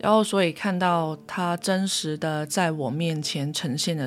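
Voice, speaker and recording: In a Cantonese accent, a woman speaks at a fairly slow pace. Her very deep, low voice keeps a fairly even intonation. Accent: Cantonese-accented Mandarin. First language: Cantonese (speaking Chinese). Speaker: podcast host, spiritual practitioner. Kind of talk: casual solo monologue.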